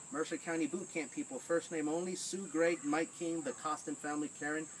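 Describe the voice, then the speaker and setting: A man talks at a fairly quick pace with ordinary pitch variation. Light background noise sits behind him. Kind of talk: casual list of call-outs. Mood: light, joking. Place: garden. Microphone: camera far.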